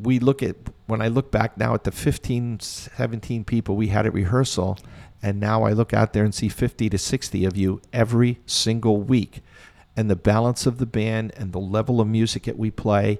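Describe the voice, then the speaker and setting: This is an unremarkable speaking voice from a man with a fairly low pitch. His intonation is fairly even and his pace moderate. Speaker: community band conductor. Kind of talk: interview, reminiscing.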